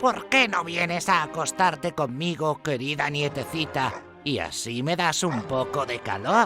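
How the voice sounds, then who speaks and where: A hoarse, put-on character voice at low-to-middle pitch, with clear music in the background. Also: moderate pace. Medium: audio drama. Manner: falsely soft, disguising.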